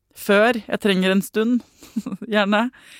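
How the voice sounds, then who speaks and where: A woman's medium-pitched voice, dry and close with no echo, in a very clean recording with a silent background. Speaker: parenting podcast host. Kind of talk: casual interview.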